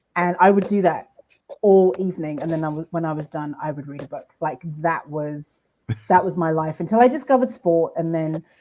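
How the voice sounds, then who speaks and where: A woman with a British accent speaks at a fairly low pitch, her loudness swinging in big jumps. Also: ordinary pitch variation, fairly quick pace. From England, Luton near London. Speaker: audio journalist. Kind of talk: casual chat.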